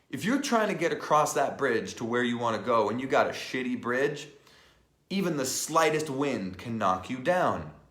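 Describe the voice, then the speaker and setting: Audible room echo surrounds a man with a fairly high pitch, speaking at a moderate pace in an animated tone with lively intonation. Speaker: life and business coach. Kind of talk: live online training. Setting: live stream.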